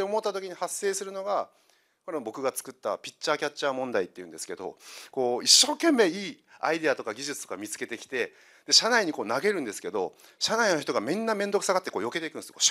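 Very fast speech with big swings in loudness against a quiet background. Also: man. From Kyushu, Saga; Kyushu, Japan. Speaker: consultant; presenter. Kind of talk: lecture. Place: hall. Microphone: handheld.

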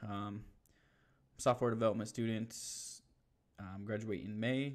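A man speaks in a fairly low pitch with fairly even intonation. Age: 30s. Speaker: YouTuber learning to code. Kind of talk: screen-share tutorial. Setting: live stream. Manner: casual, many fillers. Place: home room.

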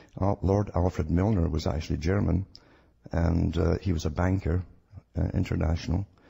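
At a moderate pace, a man with a Scottish accent speaks in a very deep, low voice, dark and mellow in tone and somewhat breathy, with fairly even intonation. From Scotland. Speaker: radio guest, conspiracy researcher. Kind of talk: radio interview.

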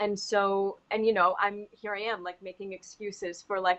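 A woman with an American accent talks at a moderate pace in an unremarkable speaking voice, medium in pitch with fairly even intonation. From US South, Huntington, West Virginia; West Virginia. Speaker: actor. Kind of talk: casual chat. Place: home room. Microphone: video call.

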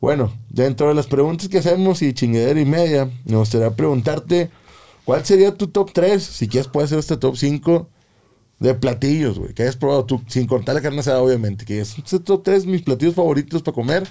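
A man's dark, mellow voice with lively intonation, fairly quick, over a quiet background. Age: 30s. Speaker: podcast host. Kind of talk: casual chat. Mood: relaxed, joking, slangy. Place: studio. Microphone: studio mic.

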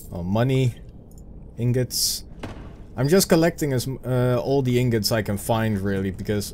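At a moderate pace, a man with a Dutch accent speaks using ordinary pitch variation. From Netherlands. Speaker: gaming video creator. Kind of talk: let's play gameplay commentary. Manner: casual and chatty.

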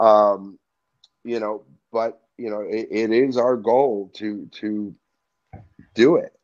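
Against a quiet background, a man talks at a very slow pace with fairly even intonation and long, frequent pauses. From New Jersey. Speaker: music industry event professional, brother of a rock star; interview guest. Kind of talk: casual interview. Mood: calm, thoughtful. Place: home room. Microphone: video call.

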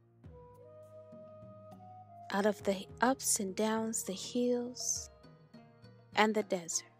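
A woman at medium pitch in a calm, soothing tone, very slow with long, frequent pauses, fairly even intonation and big swings in loudness, music playing behind her. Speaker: meditation guide. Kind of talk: guided meditation.

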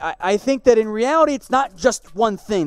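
Faint background music behind a male speaker at a moderate pace. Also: dry sound with no echo. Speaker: sports show host. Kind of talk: commentary. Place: studio.

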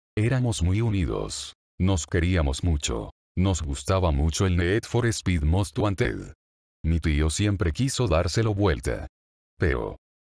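A man speaks very slowly in a very deep, low voice that is somewhat breathy. His pitch swings very widely while his loudness stays very even. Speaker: creepypasta narrator. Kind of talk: scripted ghost story narration.

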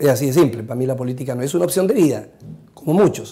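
A man's dark, mellow voice at a medium pitch, with ordinary pitch variation, a very fast pace and a quiet background. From Chile, Chiloé; Chile. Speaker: congressman; politician interviewed. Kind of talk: interview. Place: studio.

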